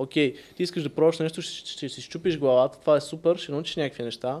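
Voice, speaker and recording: A man talks at a very fast pace with a fairly high pitch. His intonation stays fairly even, and the recording is very clean with a silent background. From Bulgaria (Sofia and Varna). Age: 20s. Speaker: tech entrepreneur. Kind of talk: casual interview.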